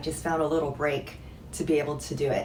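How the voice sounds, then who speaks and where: A quiet woman with a very deep, low pitch, over noticeable background noise. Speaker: former luxury retail employee. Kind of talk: casual talk to camera. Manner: quiet, low voice.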